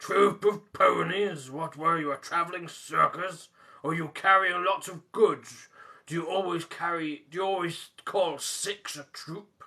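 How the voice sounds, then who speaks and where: Using a put-on character voice, a man growls at a fairly slow pace in a high, raspy voice with fairly even intonation and big swings in loudness. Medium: read story. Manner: growling, blunt.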